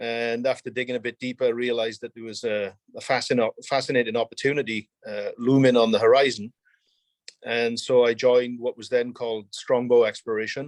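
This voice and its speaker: A man speaks fairly quickly at a medium pitch, in a Welsh accent with monotone, flat intonation. His loudness swings widely, and the sound is dry and close with no echo. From South Wales. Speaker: mining company executive. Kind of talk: interview.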